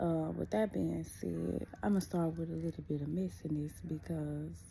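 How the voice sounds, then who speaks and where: A woman whispers quietly at a moderate pace. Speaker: vlogger. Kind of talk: casual personal vlog. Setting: at home. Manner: quiet, near whisper.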